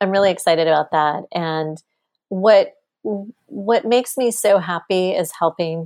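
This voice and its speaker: A woman uses a normal speaking voice in an American accent, at medium pitch with ordinary pitch variation. The recording is very clean, with a silent background. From Texas. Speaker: business consultant. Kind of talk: interview.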